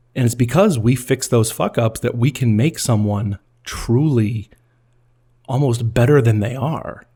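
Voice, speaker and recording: A man with a dark, mellow tone speaks at a fairly slow pace, sounding somewhat breathy. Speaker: podcast host and film editor. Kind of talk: scripted narration. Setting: recorded at a microphone. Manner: edited, stumbles removed.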